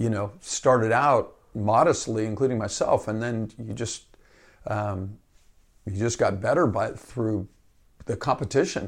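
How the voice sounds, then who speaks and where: A man with an American accent speaks at medium pitch, somewhat breathy, at a fairly slow pace. His pitch variation is ordinary, and the recording is very clean with a silent background. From Northern California, Marin County. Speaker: associate athletic director and basketball coach. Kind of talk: interview.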